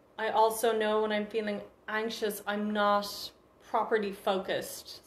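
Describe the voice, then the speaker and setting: Medium-pitched speech from a woman, noticeable background noise behind it. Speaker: confidence workshop presenter. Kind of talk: educational talk. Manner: fast.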